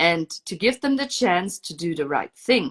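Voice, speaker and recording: The woman's intonation is lively. The sound is dry and close with no echo, and the background is quiet. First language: not English. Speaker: mother telling her story. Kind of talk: testimony.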